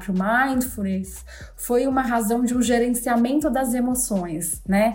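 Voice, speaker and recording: A woman's somewhat breathy voice moves along at a fairly slow pace. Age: 40s. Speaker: mindfulness coach. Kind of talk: casual chat.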